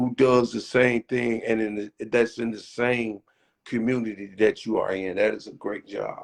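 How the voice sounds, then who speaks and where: A man's monotone, flat intonation in a dry, close sound with no echo. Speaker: show host. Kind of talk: casual interview. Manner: stammering repetitions.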